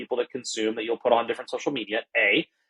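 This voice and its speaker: In a dry, close recording with no echo, a man speaks at a very fast pace. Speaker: chief people officer, tech company executive. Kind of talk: podcast interview. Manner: animated.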